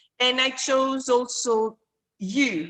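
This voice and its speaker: A woman speaks with a Greek accent. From Greece. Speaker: course student. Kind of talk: self-introduction in online class. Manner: halting, many fillers.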